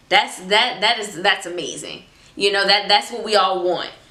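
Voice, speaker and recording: A woman talks in an animated tone, with noticeable background noise behind her. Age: 20s. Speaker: faith vlogger. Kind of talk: casual chat.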